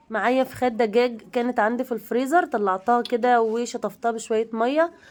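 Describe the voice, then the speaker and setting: Her intonation fairly even, a woman speaks at a moderate pace in a high pitch. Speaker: cooking channel host. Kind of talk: cooking tutorial. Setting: home kitchen.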